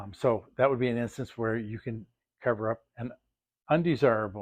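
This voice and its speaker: A man's medium-pitched voice with an American accent, fairly even intonation and a moderate pace, in a dry, close sound with no echo. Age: 60s. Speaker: fishing lure crafter and video host. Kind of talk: casual tutorial talk. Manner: halting, many fillers.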